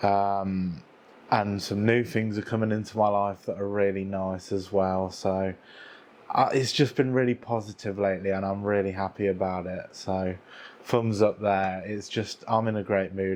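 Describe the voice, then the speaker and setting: A man speaks at a moderate pace in a monotone, flat intonation. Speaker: video creator. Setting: on camera, talking to viewers.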